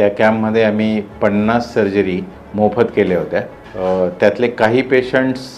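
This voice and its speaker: A man speaks with a fairly low pitch, fairly even intonation and very even loudness. Noticeable background noise runs underneath. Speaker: orthopedic surgeon. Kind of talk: interviewer questions.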